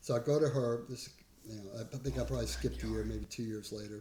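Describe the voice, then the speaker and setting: This man has a somewhat breathy voice with a dark, mellow tone. He speaks at a fairly quick pace. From New England. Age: 60s. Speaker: community garden leader. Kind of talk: casual chat. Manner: halting, many fillers.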